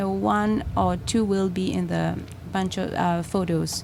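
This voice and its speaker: Audible room echo follows a woman as she talks at a very slow pace. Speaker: artist. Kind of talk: interview. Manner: halting.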